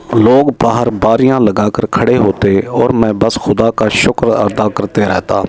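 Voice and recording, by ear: A fairly low-pitched man's voice with vocal fry, a slightly mellow tone, fairly even intonation and a fairly slow pace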